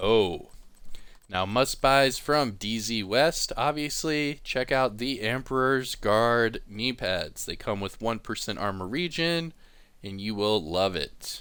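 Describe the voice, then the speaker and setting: Very slow speech from a man with a bright, sharp tone and lively intonation, on a very clean recording with a silent background. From US South, East Coast. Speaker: gaming YouTuber. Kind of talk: game commentary.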